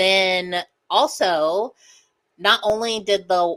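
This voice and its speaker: A loud woman's voice, bright and sharp in tone, with ordinary pitch variation. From US Midwest (Lincoln County, Missouri). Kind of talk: casual chat.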